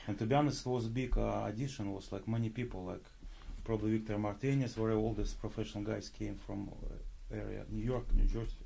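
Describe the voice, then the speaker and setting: A man with a Russian accent at a very fast pace, with audible room echo. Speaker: pro bodybuilder and actor. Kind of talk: casual interview. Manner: halting.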